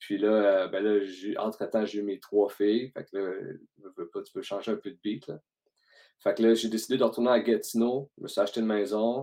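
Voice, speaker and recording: Speaking with a Quebec accent, a man has a dark, mellow tone at medium pitch and a moderate pace. His intonation is monotone and flat, and his loudness swings widely. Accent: Québécois French. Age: 30s. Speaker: podcast host, entrepreneur. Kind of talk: casual interview chat.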